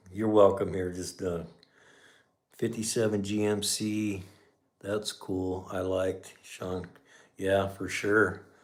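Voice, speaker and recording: A man's fairly low voice, monotone and flat, with long, frequent pauses and audible room echo. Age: 60s. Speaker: garage channel host, mechanic. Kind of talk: casual livestream chat. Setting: livestream. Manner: relaxed, conversational.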